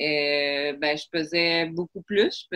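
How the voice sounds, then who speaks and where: The speaker talks with a Quebec accent and fairly even intonation. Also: woman. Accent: Quebec French accent in her English. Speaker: preschool second-language teacher. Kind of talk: casual interview chat.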